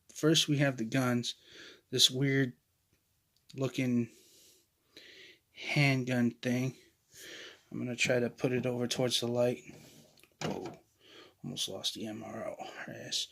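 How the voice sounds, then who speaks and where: Quiet and fairly slow, a man talks with fairly even intonation and long, frequent pauses. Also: medium pitch for a man. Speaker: toy reviewer. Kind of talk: product review. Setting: storage room at home.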